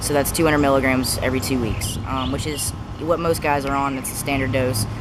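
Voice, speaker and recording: A man talks very fast, and the recording carries audible room echo along with noticeable background noise. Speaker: vlogger. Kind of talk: casual vlog update. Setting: outdoors in backyard. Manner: hesitant, many fillers.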